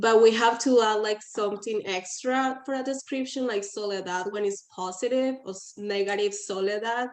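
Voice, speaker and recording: A woman with a Spanish accent speaks at a moderate pace with hardly any pauses, in a fairly high pitch. Her intonation is fairly even, while her loudness swings widely. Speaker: workshop participant. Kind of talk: group discussion.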